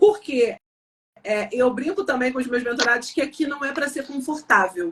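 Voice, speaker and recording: Her pitch high and intonation lively, a woman speaks at a moderate pace. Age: 40s. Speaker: sales mentor and business consultant. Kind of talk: live-stream interview. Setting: live stream. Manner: assertive.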